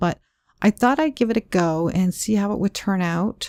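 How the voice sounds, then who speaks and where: The voice is quiet, with a dark, mellow tone. It moves at a moderate pace in a very clean recording with a silent background. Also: woman. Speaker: card making crafter. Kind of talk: craft tutorial talk to camera. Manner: quiet, lowered voice.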